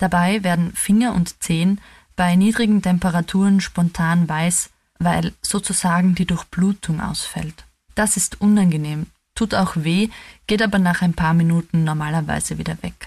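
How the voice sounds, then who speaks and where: In a very clean recording with a silent background, a woman with a somewhat breathy, fairly low pitch speaks at a moderate pace with fairly even intonation. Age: 30s. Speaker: theologian. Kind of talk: scripted reflection.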